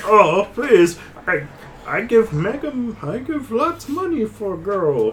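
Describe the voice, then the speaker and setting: A put-on character voice with a fairly high pitch and very wide pitch swings moves at a fairly slow pace. Clear background noise is present. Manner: mocking, leering.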